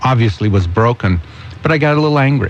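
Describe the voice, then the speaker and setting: Noticeable background noise fills the recording. Through it, a man talks with lively intonation. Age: 60s. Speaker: guest commentator. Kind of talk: talk radio discussion.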